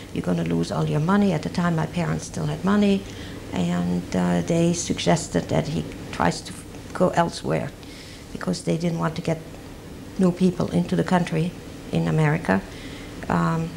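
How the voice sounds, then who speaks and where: Against noticeable background noise, a woman with a very deep, low pitch speaks at a moderate pace. Her pitch swings very widely, and she takes long, frequent pauses. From Belgium, Brussels. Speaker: Holocaust survivor. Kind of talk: oral history testimony. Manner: halting.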